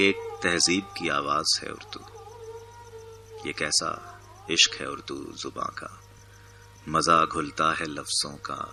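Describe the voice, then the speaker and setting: There is noticeable background noise as a man talks with big swings in loudness. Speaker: poetry reciter. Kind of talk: poetry reading.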